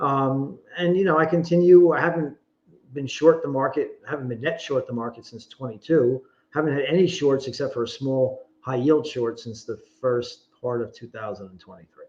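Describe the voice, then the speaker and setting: This man has an ordinary speaking voice with a fairly high pitch and ordinary pitch variation. He keeps a moderate pace, with big swings in loudness. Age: 60s. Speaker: investment advisor. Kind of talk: interview. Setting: podcast interview.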